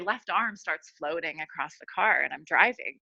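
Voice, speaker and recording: The voice has a bright, sharp, animated tone. The background is quiet. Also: woman. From New York. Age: 40s. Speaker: midwife. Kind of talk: testimony.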